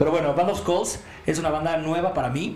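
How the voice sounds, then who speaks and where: A man with a Mexican accent talks at a fairly quick pace amid noticeable background noise and audible room echo. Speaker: podcast co-host. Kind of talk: casual chat.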